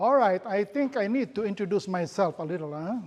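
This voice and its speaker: Speaking with a strong Filipino accent, a man uses a high pitch. His voice sits high. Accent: heavy Filipino. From Philippines. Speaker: pastor. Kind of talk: community health talk.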